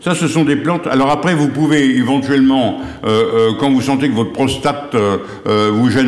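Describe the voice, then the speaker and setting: Over noticeable background noise and audible room echo, a man talks at a moderate pace, medium-pitched, with ordinary pitch variation. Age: 70s. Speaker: herbal remedies expert. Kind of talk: TV interview, health advice. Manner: hesitant, many fillers.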